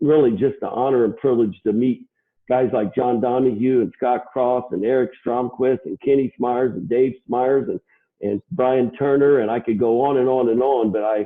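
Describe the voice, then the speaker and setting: A man with a plain, everyday voice talks at medium pitch and a moderate pace. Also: fairly even intonation. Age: 60s. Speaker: HVAC controls distributor CEO. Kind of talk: interview.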